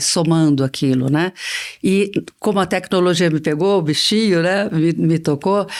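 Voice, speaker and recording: Captured in a very clean recording with a silent background, the speech proceeds at a moderate pace. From Brazil, interior of São Paulo state. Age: 60s. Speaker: business executive and board member. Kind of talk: interview.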